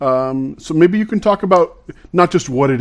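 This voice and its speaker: Here is a man with an ordinary speaking voice. He talks at a moderate pace with ordinary pitch variation. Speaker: podcast co-host. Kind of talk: interview.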